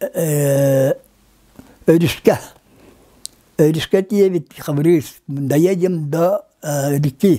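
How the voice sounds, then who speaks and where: A man's fairly high-pitched voice with a dark, mellow tone, ordinary pitch variation, a very slow pace and long, frequent pauses. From Yakutia, Lower Kolyma. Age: 80s+. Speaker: linguist. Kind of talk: interview. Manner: halting.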